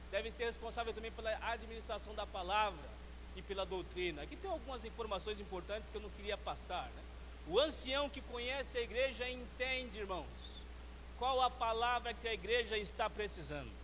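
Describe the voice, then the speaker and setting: The talking moves at a fairly quick pace. Audible room echo surrounds the voice. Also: man. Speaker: church elder trainer / preacher. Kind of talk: sermon-style teaching talk. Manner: fast.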